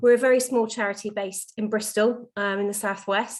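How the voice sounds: A woman speaks at a medium pitch and a moderate pace, with fairly even intonation.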